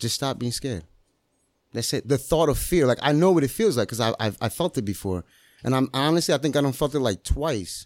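A man talks in a plain, everyday voice at a fairly quick pace with lively intonation. The sound is dry and close with no echo, on a very clean recording with a silent background. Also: medium pitch for a man. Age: 30s. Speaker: master barber and entrepreneur. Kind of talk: casual chat. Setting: in-person studio.

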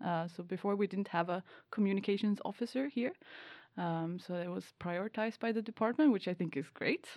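With a Swedish accent, a woman talks at a fairly quick pace and medium pitch with ordinary pitch variation on a very clean recording with a silent background. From Sweden. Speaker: PhD student and podcast host.

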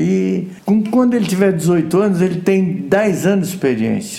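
This man's pitch rises and falls across a very wide range, with noticeable noise in the background. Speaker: retired racing driver. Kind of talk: interview. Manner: animated.

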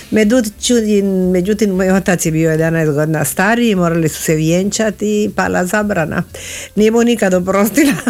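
In a Spanish accent, a woman talks at a moderate pace. Her medium-pitched voice shows ordinary pitch variation. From Argentina, Buenos Aires. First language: Spanish (speaking Croatian). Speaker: guest. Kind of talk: interview.

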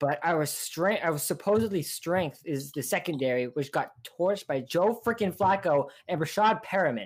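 With a normal speaking voice, a woman talks at a moderate pace and fairly low pitch, her intonation lively and her speech having hardly any pauses. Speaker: podcast co-host, football fan.

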